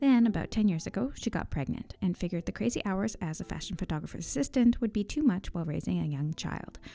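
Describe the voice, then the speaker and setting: With music in the background, a woman of fairly low pitch speaks at a very fast pace with lively intonation. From Newfoundland, Canada. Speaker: podcast host. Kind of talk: scripted narration.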